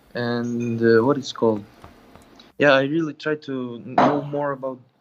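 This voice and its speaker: A man at medium pitch, fairly slow in pace, with fairly even intonation. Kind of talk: call-in conversation. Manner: halting.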